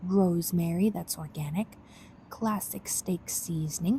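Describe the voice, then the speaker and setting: Soft-spoken and somewhat breathy, the voice has a dark, mellow tone. It moves at a fairly slow pace with fairly even intonation. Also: woman. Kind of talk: ASMR cooking tutorial. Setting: home kitchen.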